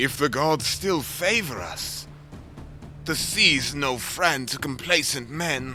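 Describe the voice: A man's put-on character voice at medium pitch, slow and with lively intonation, bright and sharp in tone, faint music in the background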